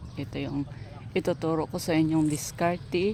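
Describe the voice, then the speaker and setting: Noticeable background noise surrounds a woman whose very deep, low pitch holds fairly even intonation. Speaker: gardening vlogger. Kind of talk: tutorial. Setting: outdoors in backyard.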